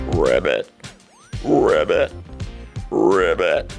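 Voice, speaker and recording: In a put-on character voice pitched extremely high, someone speaks as faint music plays in the background. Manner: croaky.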